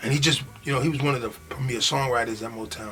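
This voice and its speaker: A very fast New York accent over noticeable background noise. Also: man. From Long Island, New York. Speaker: rapper. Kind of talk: interview. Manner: halting.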